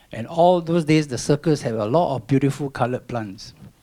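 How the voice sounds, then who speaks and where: In a Singaporean accent, a man speaks at a fairly quick pace with ordinary pitch variation. The recording is very clean, with a silent background. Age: 60s. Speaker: environmental volunteer and retired banker. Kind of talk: public talk. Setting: stage with audience.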